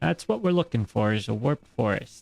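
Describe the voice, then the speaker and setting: Man's medium-pitched, somewhat breathy mumbling at a fairly slow pace, with ordinary pitch variation and a dry, close sound with no echo. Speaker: gaming streamer. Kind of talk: live gameplay commentary. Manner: halting.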